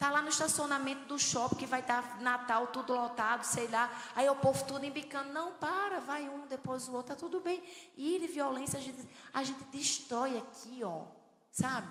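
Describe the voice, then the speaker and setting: In a northeastern Brazilian accent, a woman speaks in an animated tone at a high pitch, with audible room echo and noticeable background noise. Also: ordinary pitch variation, moderate pace. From Brazilian Northeast, João Pessoa. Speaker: preacher at women's conference. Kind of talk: sermon.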